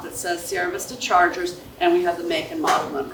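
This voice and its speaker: There is audible room echo and noticeable background noise around a woman as she talks. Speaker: school staff member handling bike safety. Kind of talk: presentation to parents and students. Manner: loud.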